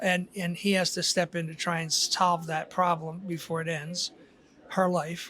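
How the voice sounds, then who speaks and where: With a bright, sharp tone and monotone, flat intonation, a man speaks at a fairly slow pace with a high pitch. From Philadelphia, US. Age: 70s. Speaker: author. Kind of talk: casual interview.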